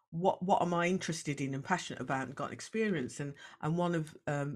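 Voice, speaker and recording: In a Brummie accent, a woman speaks at a fairly quick pace with a very deep, low pitch and ordinary pitch variation. The recording is very clean with a silent background. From Birmingham, West Midlands. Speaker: diversity coach and former police officer. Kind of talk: interview.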